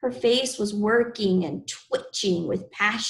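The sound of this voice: Here is an unforced reading voice. It has ordinary pitch variation.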